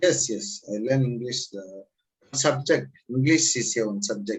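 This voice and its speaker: A man's somewhat breathy, medium-pitched voice with very wide pitch swings at a fairly slow pace. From Tamil Nadu, India. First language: Tamil. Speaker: language student. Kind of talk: casual conversation lesson. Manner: halting.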